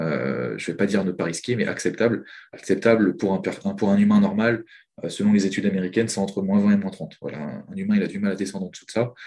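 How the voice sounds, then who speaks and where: A man's very fast speech, fairly low in pitch, with a dark, mellow tone, vocal fry and ordinary pitch variation. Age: 20s. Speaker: trader and trading coach. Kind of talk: interview.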